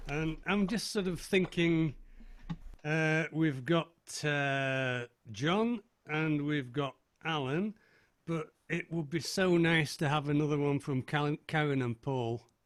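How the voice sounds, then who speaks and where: Very slowly, a man speaks with long, frequent pauses in a North East Lancashire accent. His pitch is fairly high with ordinary variation. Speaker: folk club host. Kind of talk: casual chat. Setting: video call.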